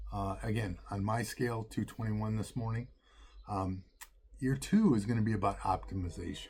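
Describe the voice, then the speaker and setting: A man's fairly low, somewhat breathy voice at a moderate pace, with fairly even intonation. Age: 60s. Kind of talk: casual talk to camera. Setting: outdoors.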